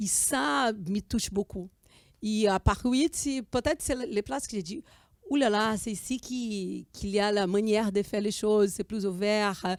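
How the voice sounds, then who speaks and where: In a Portuguese accent, the speaker goes at a fairly slow pace with ordinary pitch variation. The recording is very clean with a silent background, and the sound is dry and close with no echo. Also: woman, medium pitch for a woman. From Brazil. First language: Portuguese (speaking French). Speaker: student and filmmaker. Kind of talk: interview. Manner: halting.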